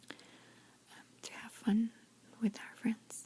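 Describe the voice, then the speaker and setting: Whispering in a gentle tone. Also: woman. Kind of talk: ASMR soft-spoken storytelling with lip smacking. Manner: soft-spoken, gentle, whispery.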